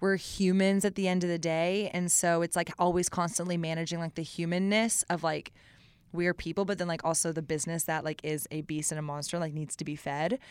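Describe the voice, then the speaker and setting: A woman speaks in a plain, everyday voice with an American accent, fairly low in pitch and fairly quick. Her intonation stays fairly even, and the recording is very clean with a silent background. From Austin, Texas. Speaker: business founder. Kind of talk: casual interview.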